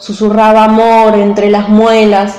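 A woman speaks at a very slow pace in a fairly high pitch with monotone, flat intonation, amid noticeable background noise and audible room echo. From San Juan, Argentina. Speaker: poet. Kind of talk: poetry reading.

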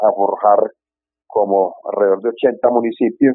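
The pace is very slow. This man talks in a fairly low voice. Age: 50s. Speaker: birdwatching and horseback tourism guide. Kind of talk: interview. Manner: halting.

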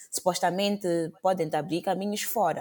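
A dark, mellow tone at a moderate pace. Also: woman. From Mozambique, Maputo. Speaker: podcast host. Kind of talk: casual chat. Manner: code-switching Portuguese and English.

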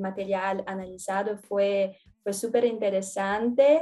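A woman speaks with a Portuguese accent. Her voice sits at a medium pitch. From Brazil, São Paulo. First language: Portuguese (speaking Spanish). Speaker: former exchange student, researcher. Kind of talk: casual interview. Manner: halting.

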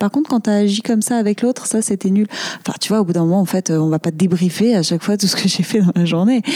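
Amid noticeable background noise, a woman of medium pitch speaks at a very fast pace with ordinary pitch variation, in a dry, close sound with no echo. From Marseille, southern France. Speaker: comedian and actress. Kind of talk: casual interview chat.

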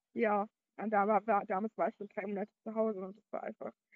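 An ordinary speaking voice from a woman, fairly high in pitch, at a fairly quick pace. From Berlin, Germany. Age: young. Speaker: podcaster. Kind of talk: personal monologue.

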